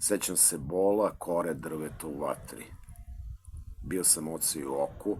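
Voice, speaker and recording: With a Serbian accent, a man speaks in a very deep, low pitch at a moderate pace, using ordinary pitch variation and long, frequent pauses. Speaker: librarian and poet. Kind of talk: poetry reading. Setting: school library.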